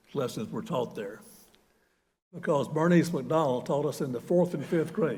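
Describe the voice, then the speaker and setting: A man with an American accent speaks in a fairly high pitch with lively intonation. Audible room echo is present. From US South, North Carolina. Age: 70s. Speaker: retired university president. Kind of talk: sermon. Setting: church.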